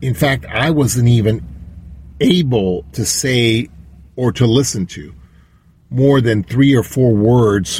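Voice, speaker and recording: This man has a medium pitch and lively intonation. His voice is somewhat breathy. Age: old. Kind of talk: storytelling monologue. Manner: halting.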